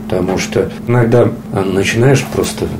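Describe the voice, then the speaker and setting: Here a man is talking. There is noticeable background noise and audible room echo. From Russia, Pskov. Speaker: wheelchair athlete, orienteering champion. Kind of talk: interview. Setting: at home. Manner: halting, many fillers.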